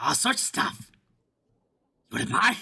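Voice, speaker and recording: This raspy, put-on character voice moves at a moderate pace. The delivery stays neither fast nor slow. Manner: gruff, gravelly.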